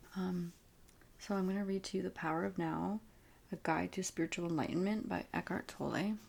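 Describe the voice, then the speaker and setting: A woman's normal speaking voice, fairly low in pitch, with fairly even intonation, very even loudness and a fairly quick pace. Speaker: ASMR reader. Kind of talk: casual talk to camera.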